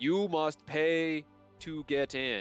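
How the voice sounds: Over faint background music, a man uses a put-on character voice pitched fairly high for a man.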